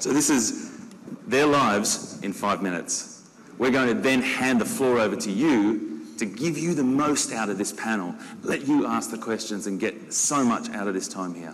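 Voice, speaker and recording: A man with a medium pitch speaks at a moderate pace and with lively intonation. Audible room echo and noticeable background noise surround his voice. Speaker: zookeeper, panel moderator. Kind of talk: panel moderation. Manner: enthusiastic.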